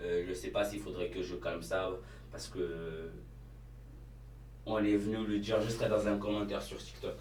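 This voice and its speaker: Amid noticeable background noise and audible room echo, a man speaks with long, frequent pauses. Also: moderate pace. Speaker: YouTuber and cleaning business owner. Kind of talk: casual vlog talk to camera. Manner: hesitant, many fillers.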